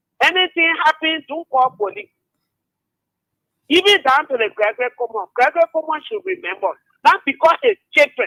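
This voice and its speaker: With long, frequent pauses, a man speaks at a moderate pace in a raised, projected voice that is extremely high, bright and sharp, with lively intonation and a dry, close sound with no echo. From Liberia. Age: 60s. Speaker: caller. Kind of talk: call-in political talk.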